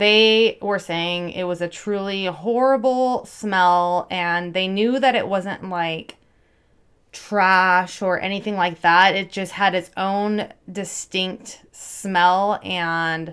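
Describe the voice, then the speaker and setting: The pace is very slow. This woman keeps her intonation fairly even. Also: very clean recording, silent background. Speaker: true crime and makeup youtuber. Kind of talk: casual true crime storytelling. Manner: filler-heavy, conversational.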